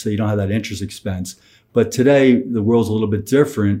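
This man's tone is dark and mellow. He talks with an American accent. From Philadelphia. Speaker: financial planner. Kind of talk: casual interview.

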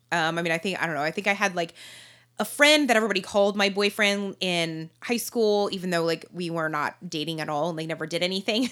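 A woman with an American accent speaks at a very fast pace in a bright, sharp tone. The recording is very clean, with a silent background. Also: ordinary pitch variation. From Arizona. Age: 30s. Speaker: guest sharing her faith story. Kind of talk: casual interview chat.

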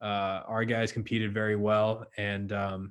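Someone with a plain, everyday voice speaks fairly slowly with fairly even intonation on a very clean recording with a silent background. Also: man. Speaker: baseball analytics staffer. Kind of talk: casual chat.

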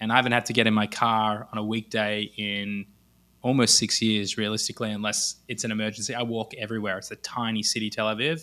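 A man with an Australian accent talks very fast in a fairly low pitch, his bright, sharp tone flat and monotone on a very clean recording with a silent background. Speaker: e-commerce entrepreneur. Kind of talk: podcast interview.

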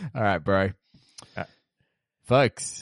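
A fairly low-pitched man's voice with an Australian accent, moderate pace and a dry, close sound with no echo. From Perth, Western Australia. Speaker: podcast host. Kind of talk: casual chat. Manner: animated.

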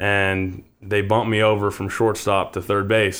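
At a moderate pace, the speaker talks in monotone, flat intonation with an American accent on a very clean recording with a silent background. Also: man. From Bend, Oregon. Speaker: professional baseball player. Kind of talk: interview.

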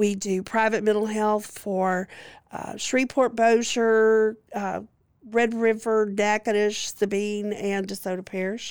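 Flat and monotone, a woman with a Louisiana accent comes through on a very clean recording with a silent background. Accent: Southern US (Louisiana). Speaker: licensed clinical social worker. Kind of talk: interview testimony.

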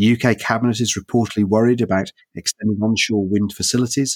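A man talks at a fairly quick pace with a fairly low pitch, in a normal speaking voice. The sound is dry and close with no echo, and the recording is very clean with a silent background. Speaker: podcast host and philosopher. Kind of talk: panel discussion.

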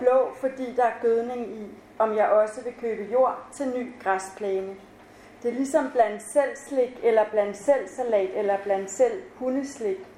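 A woman's high-pitched voice at a very slow pace, with ordinary pitch variation and noticeable background noise. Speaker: author. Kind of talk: reading aloud. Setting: stage with audience.

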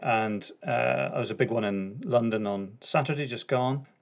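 The speaker talks at a very slow pace in a Northern Irish accent, with ordinary pitch variation. The recording is very clean, with a silent background. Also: man. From Northern Ireland. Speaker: podcast host, former police officer. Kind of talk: conversational, informal British English.

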